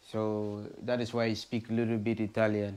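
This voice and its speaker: At a moderate pace, a man talks with a dark, mellow tone at a medium pitch. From Nigeria. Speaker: travel vlogger. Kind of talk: travel vlog narration. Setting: outdoors. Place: home room. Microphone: phone near.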